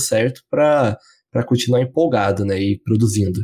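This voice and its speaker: In a very clean recording with a silent background and a dry, close sound without echo, a man speaks at a moderate pace with a somewhat breathy, dark, mellow tone and ordinary pitch variation. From southern Brazil, Curitiba. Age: 20s. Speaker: podcast co-host. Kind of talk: casual chat.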